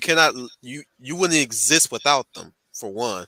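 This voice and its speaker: A man speaks with a Southern US accent in a bright, sharp tone. The recording is very clean with a silent background, and the sound is dry and close with no echo. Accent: choppy Southern. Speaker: channel host, commentator. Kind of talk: casual group discussion. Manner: halting, frequent repetitions.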